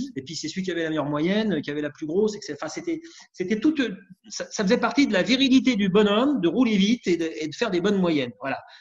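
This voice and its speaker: This man talks at a very fast pace with a high pitch. His pitch swings very widely. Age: 60s. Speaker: former road racer. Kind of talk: casual chat.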